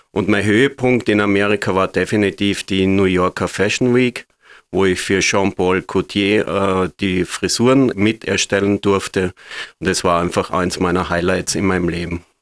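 A man with a normal speaking voice and fairly low pitch talks at a moderate pace with fairly even intonation, in a very clean, dry, close recording with no echo and a silent background. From Austria, Graz. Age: 50s. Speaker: hairdresser. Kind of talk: interview.

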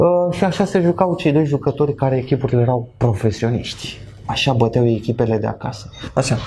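Against noticeable background noise, the speaker talks at a fairly quick pace with lively intonation. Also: man, medium pitch for a man. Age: 20s. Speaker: esports commentator. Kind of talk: casual chat.

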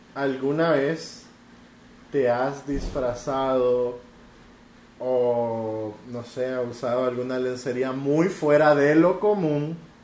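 A man's medium-pitched voice, varying in pitch in an ordinary way, is heard with audible room echo and noticeable background noise. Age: 20s. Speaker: podcast guest. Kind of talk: casual chat.

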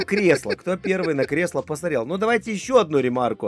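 A man talks high-pitched at a fairly quick pace. The sound is dry and close with no echo. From Lithuania. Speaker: guest from Lithuania. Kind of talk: casual chat.

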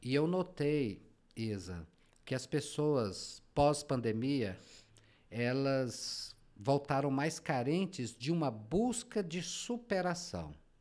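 Speaking at a very slow pace, a man uses a fairly high pitch. His pitch swings very widely. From Goiás, Brazil (rural, Trindade). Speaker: journalist and business consultant. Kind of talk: interview.

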